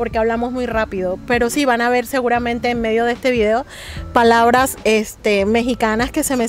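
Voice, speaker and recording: Over music in the background, a woman speaks at a fairly quick pace, fairly high in pitch and monotone, with flat intonation. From Colombia, Barranquilla. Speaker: interviewee. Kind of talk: interview.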